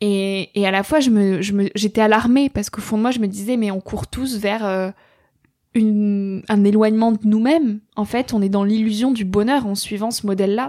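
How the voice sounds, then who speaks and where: Her tone is dark and mellow, with a fairly high pitch. The woman keeps a moderate pace and fairly even intonation. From rural France. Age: 20s. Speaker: podcaster and author. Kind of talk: interview.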